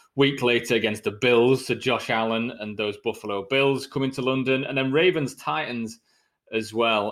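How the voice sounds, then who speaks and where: With a British accent, a man talks at a moderate pace in a medium pitch with ordinary pitch variation. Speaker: podcast host. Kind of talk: casual chat.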